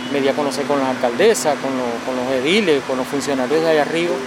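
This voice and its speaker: A man talks very fast at a fairly high pitch, with noticeable background noise behind him. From Venezuela. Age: 40s. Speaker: street coffee vendor. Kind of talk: interview.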